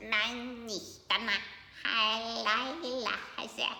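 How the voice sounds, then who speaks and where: In a put-on character voice, a woman squeaks at a fairly high pitch and a very slow pace, with slight echo and clear background noise. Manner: repeating, mimicking.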